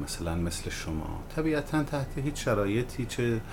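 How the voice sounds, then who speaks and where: A man's fairly slow speech with very wide pitch swings, audible room echo and noticeable background noise. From Iran, Malayer (Hamadan province). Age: 40s. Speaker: web entrepreneur, company founder. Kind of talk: interview.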